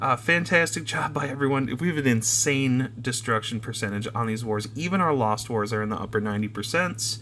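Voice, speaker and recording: A man speaks fairly quickly, with ordinary pitch variation, against noticeable background noise. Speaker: gaming YouTuber. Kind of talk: gameplay commentary tutorial. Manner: fast; filler-heavy, frequent um and uh.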